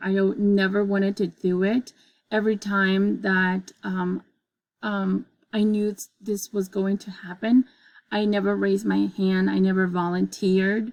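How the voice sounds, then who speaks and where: A woman with a non-native accent speaks fairly slowly at a medium pitch. Her intonation is fairly even, and the recording is very clean with a silent background. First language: not English. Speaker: student giving a presentation. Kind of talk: class presentation demonstration. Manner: halting, many fillers.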